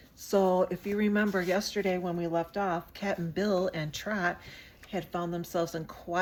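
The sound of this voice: Here is an unforced reading voice. Its intonation is fairly even.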